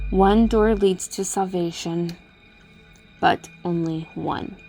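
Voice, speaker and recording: Hissing, put-on character voice at a middle pitch and very slow pace, with faint music in the background. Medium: read story. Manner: hissing, chattering, ominous.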